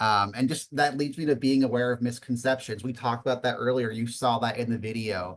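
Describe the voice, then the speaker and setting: Speaking at a fairly quick clip with hardly any pauses, a man keeps a medium pitch and fairly even intonation. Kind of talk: webinar presentation. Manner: fast.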